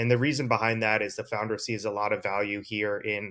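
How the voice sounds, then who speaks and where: A man with a normal speaking voice talks at a fairly quick pace and medium pitch in a very clean recording with a silent background. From US East Coast. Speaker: crypto investor. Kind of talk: casual chat.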